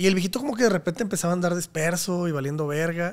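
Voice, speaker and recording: Against a quiet background, a high-pitched man speaks at a very fast pace. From Mexico. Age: 30s. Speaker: podcast host and comedy channel producer; podcast host. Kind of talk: casual interview chat. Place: home room. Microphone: studio mic.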